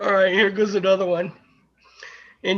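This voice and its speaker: This man speaks with an American accent. His pitch is high and his intonation fairly even. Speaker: podcast co-host reading out odd laws.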